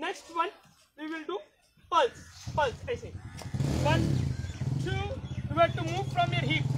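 Loud background noise runs under speech that moves at a fairly slow pace with long, frequent pauses. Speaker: fitness instructor. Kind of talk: live online fitness class, leading a workout. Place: open country.

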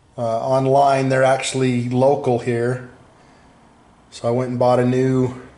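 Speaking at a very slow pace, a man has a dark, mellow tone. There is audible room echo. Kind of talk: casual vlog chat. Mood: pleased, relaxed. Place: garage. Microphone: phone near.

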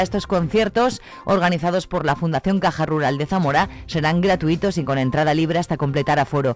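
Faint music plays in the background as the speech moves at a fairly quick pace, the sound dry with no echo. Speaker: radio news presenter. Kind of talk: news reading. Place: studio.

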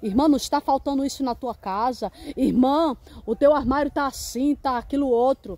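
A woman speaks at a high pitch with ordinary pitch variation. Her pace is moderate and the sound is dry with no echo. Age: 50s. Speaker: preacher. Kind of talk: sermon. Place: open country. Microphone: phone near.

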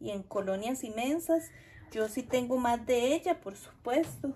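With a Costa Rican accent, a woman speaks in a warm, high-pitched tone. Her intonation is lively over light background noise. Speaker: gardening vlogger. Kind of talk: casual tutorial vlog. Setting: outdoors in garden. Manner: chatty, warm. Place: garden.

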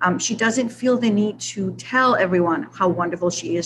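A woman speaks at a moderate pace with ordinary pitch variation amid noticeable background noise. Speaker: English teacher. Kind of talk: tribute speech. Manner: frequent fillers. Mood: warm and approving. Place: office. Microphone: video call.

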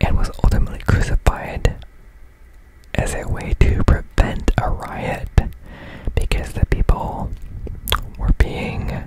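Someone whispers softly at a very slow pace with long, frequent pauses, in a dry sound with no echo against loud background noise. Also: man. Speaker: religious content creator. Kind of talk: reading aloud and commentary. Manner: soft close-mic whisper. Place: home room. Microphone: studio mic.

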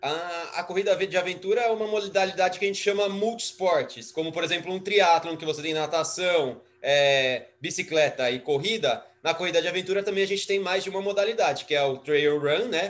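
This man speaks at a high pitch and a fairly quick pace, with hardly any pauses. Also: ordinary pitch variation. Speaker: adventure racer and teacher. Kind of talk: casual interview chat.

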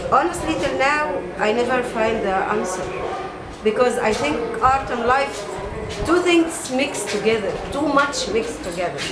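Spoken at a moderate pace over loud background noise, the voice leaves long, frequent pauses. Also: woman. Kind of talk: interview answer. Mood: reflective, animated. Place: shop. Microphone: camera far.

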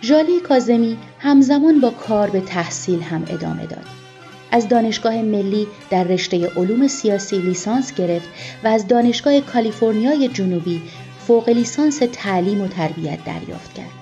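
Music plays in the background as a woman at a medium pitch speaks with very wide pitch swings and big swings in loudness. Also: moderate pace. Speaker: TV news or program narrator. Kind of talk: biographical narration for a TV segment.

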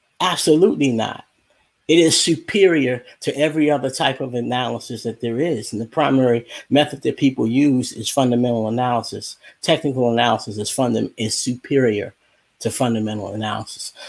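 A normal speaking voice from a man, medium in pitch with ordinary pitch variation, at a fairly quick pace. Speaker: YouTuber on stock investing. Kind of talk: casual live stream chat. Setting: video call.

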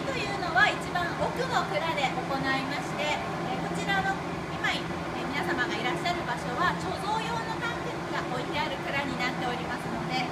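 Loud noise fills the background as a woman talks at a moderate pace. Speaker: brewery tour guide. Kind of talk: guided tour explanation. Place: factory. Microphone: phone near.

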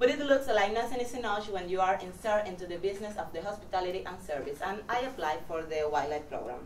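A woman talks at a very fast pace with hardly any pauses, amid audible room echo and light background noise. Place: classroom.

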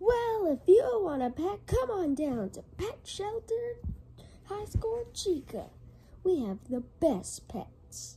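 A cartoonish character voice at extremely high pitch moves in very wide pitch swings at a very slow pace, with clear background noise. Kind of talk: comic overacting. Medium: puppet show. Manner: salesman pitch, pushy.

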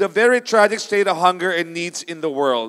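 Behind the speech, all is quiet. The delivery moves at a moderate pace. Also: man. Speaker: preacher. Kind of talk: sermon. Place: stage. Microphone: handheld.

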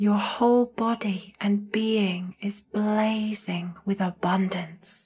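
A woman speaks very slowly in a soothing, calm tone, her voice medium-pitched and somewhat breathy. Her intonation is flat and monotone, with hardly any pauses. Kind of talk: guided meditation. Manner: soothing, slow, calm.

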